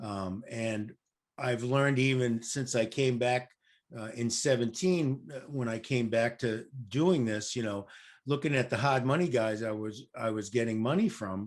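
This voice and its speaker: A man talks at a fairly slow pace in a plain, everyday voice. His pitch is medium with ordinary variation, over a quiet background. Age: 60s. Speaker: real estate investor. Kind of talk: casual chat. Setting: podcast interview.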